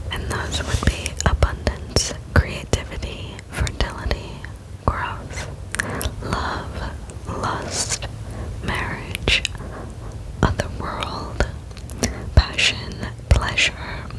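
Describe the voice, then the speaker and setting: Long, frequent pauses mark a very slow whisper, with noticeable background noise behind it. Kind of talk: ASMR book reading. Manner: whispered.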